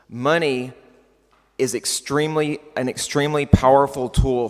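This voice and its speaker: A man speaks with a West Texas accent. His pitch varies in an ordinary way. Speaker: keynote speaker. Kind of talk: conference keynote. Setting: stage with audience.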